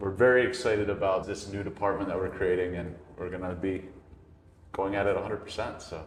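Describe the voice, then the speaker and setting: A man talks very fast at a fairly low pitch, his intonation fairly even. There is noticeable background noise and audible room echo. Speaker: loan officer. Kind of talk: casual interview. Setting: in person at a real estate office. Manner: stuttering at times.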